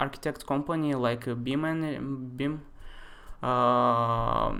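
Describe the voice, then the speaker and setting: This man speaks in a monotone. His intonation stays flat throughout. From Russia, Moscow. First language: Russian. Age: 20s. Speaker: architecture software tutor. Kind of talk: live-stream tutorial. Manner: casual, hesitant with many fillers.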